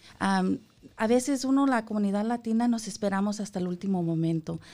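At a moderate pace, a woman speaks in a dark, mellow tone at a medium pitch. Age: 40s. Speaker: health insurance enrollment representative. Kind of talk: radio interview, informational. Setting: radio studio.

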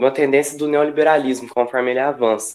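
A man talks with a fairly high pitch. His intonation is flat and monotone. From Brazil, Franca (São Paulo state interior). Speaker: delivery app worker and union activist. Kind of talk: casual discussion. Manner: hesitant, many fillers.

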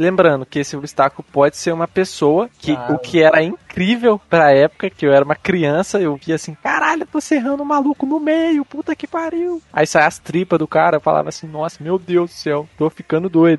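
A man's high voice at a fairly quick pace with very wide pitch swings, dry and close with no echo. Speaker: podcast host. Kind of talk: casual chat.

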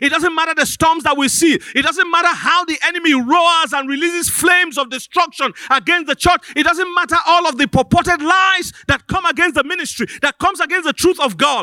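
With an extremely high pitch and a bright, sharp tone, a man uses a raised, projected voice and ordinary pitch variation. He goes at a fairly quick pace with hardly any pauses, the sound dry and close with no echo. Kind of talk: sermon. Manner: call-and-response, exhorting the congregation; earnest, pastoral, with hesitant repeated words.

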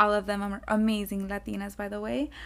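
A woman with a South Florida accent at a moderate pace. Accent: South Florida American English. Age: 20s. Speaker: podcast host, college student. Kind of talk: casual monologue. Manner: casual, filler-heavy.

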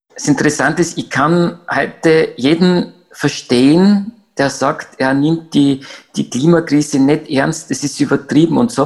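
A man with a fairly high voice talks fairly slowly, his pitch varying in an ordinary way. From Austria, Graz. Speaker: climate activist. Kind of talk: interview. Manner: halting.

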